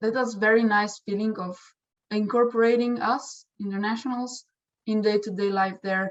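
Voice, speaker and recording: A woman with a Slovenian accent speaks at a moderate pace and a fairly high pitch. Her intonation is monotone and flat. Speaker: exchange student. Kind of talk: testimonial interview. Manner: halting, with fillers.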